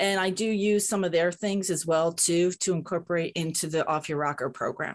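A woman speaks in a plain, everyday voice with an American accent, her pitch fairly low and her intonation fairly even. She talks at a moderate pace against a quiet background. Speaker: boxing fitness coach for older adults. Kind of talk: interview.

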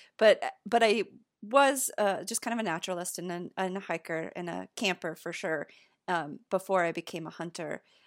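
An ordinary speaking voice with an American accent and ordinary pitch variation. The sound is dry and close with no echo, and the loudness swings widely. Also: woman, medium pitch for a woman, moderate pace. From US Montana. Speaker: podcast host. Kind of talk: casual interview chat. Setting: remote video call.

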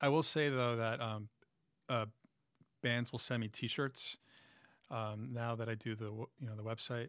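Speaking in a New York accent at a medium pitch and moderate pace, a man keeps a monotone, flat intonation with long, frequent pauses, in a very clean recording with a silent background. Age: 40s. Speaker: music writer and musician. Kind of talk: casual interview.

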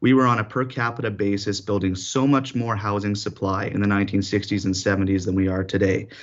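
A man with a Canadian accent, fairly low in pitch, at a very fast pace with hardly any pauses and fairly even intonation. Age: 20s. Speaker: city councillor. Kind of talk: radio interview.

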